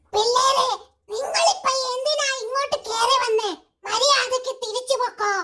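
A put-on character voice with an extremely high pitch speaks at a fairly slow pace. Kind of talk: colloquial Malayalam. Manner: scolding, warning the intruders to leave.

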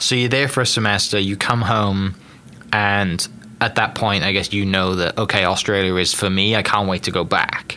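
A man with a British accent, fairly low in pitch, at a moderate pace and with fairly even intonation. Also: very even loudness. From United Kingdom. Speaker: podcast host. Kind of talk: casual interview. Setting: studio. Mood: relaxed, friendly. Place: studio. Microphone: studio mic.

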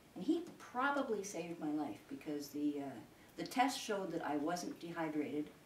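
Lively intonation at a moderate pace, with light background noise and audible room echo. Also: woman. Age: 70s. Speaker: sheep farmer and public speaker. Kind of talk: informal public talk to an audience. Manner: rambling, conversational, with many hesitations. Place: home room. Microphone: camera far.

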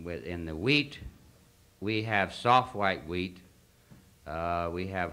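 A man with a very deep, low pitch and a bright, sharp tone, in a Western US accent, at a fairly slow pace. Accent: Western American. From Idaho. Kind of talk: convention speech. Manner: halting. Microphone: old recording.

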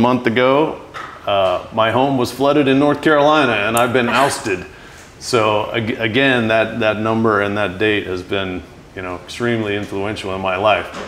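A man talks at a moderate pace with ordinary pitch variation. Light background noise is present. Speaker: interview guest. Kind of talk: interview answer. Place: home room.

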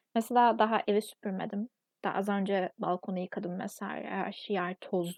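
A woman speaks at a medium pitch with a monotone, flat intonation. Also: moderate pace. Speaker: vlogger. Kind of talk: casual monologue vlog.

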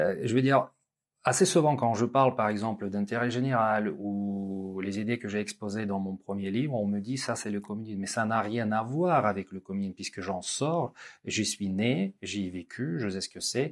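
Here a man talks at a moderate pace against a quiet background. His pitch is fairly low, with ordinary variation. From Russia. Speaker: business school lecturer and interviewer; business school lecturer, interviewer. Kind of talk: interview conversation. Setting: business school campus. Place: studio.

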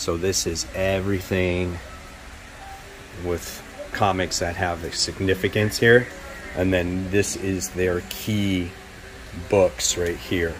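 The speech is very slow, in a monotone, flat intonation. Faint music plays in the background. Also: man. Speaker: comic collector vlogger. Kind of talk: casual vlog chat. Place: shop. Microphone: phone near.

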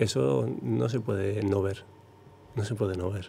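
Vocal fry runs through this man's fairly low voice. His tone is dark and mellow. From Basque Country, Zarautz. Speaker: professional big-wave surfer. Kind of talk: interview.

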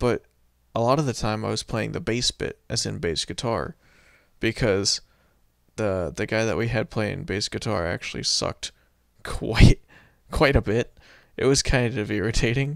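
With an American accent, a man speaks at medium pitch and moderate pace with vocal fry, ordinary pitch variation and long, frequent pauses, the sound dry and close with no echo on a very clean recording with a silent background. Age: 20s. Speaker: gaming channel vlogger. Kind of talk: casual solo monologue. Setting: home recording while music plays. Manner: halting.

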